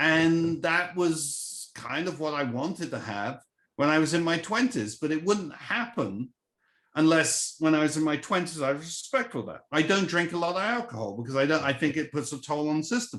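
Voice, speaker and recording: Here a man with an English accent talks at a moderate pace. His pitch is fairly high, and the background is quiet. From England. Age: 60s. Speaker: venture capitalist. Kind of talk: casual chat.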